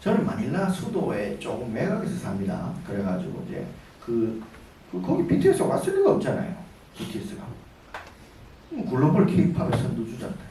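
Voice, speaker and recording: A man talks fairly quickly in a Daegu accent, with long, frequent pauses. There is noticeable background noise and audible room echo. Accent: Daegu dialect (Gyeongsang). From Daegu, South Korea. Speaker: businessman and guest lecturer. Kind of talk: lecture. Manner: casual, conversational.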